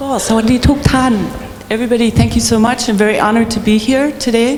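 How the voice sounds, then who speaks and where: A woman speaks with audible room echo and noticeable noise in the background. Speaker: keynote speaker, pianist. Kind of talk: keynote lecture. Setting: stage with audience. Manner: hesitant, with fillers.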